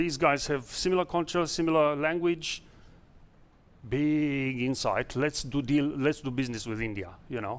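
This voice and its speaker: This man's pitch is fairly high, with ordinary variation. He keeps a moderate pace. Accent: non-native. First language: not English. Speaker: startup founder. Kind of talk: investor pitch Q&A. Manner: halting.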